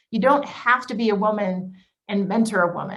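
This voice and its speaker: A woman at a medium pitch uses ordinary pitch variation, with audible room echo around her voice. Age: 40s. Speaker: business executive. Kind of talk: panel presentation. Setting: video call. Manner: fast; animated.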